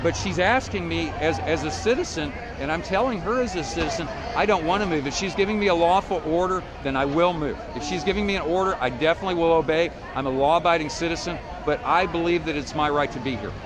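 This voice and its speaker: A high-pitched man at a very fast pace, with ordinary pitch variation, over noticeable background noise. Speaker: street preacher. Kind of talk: confrontational street preaching, arguing with police.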